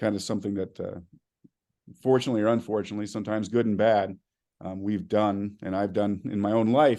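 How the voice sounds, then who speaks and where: A man's very fast delivery in an American accent, fairly low in pitch, monotone and flat, against a quiet background. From Arizona. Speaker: school superintendent. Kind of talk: keynote speech. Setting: conference stage with audience.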